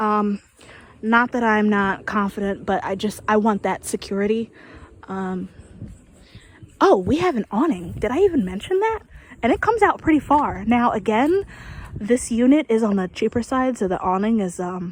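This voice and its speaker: A woman speaks quietly at a fairly high pitch, with lively intonation. She leaves long, frequent pauses. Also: moderate pace. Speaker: vlogger giving an RV walkthrough. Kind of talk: casual walkthrough vlog. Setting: outdoors. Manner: quiet, low-volume talk; hesitant, many fillers.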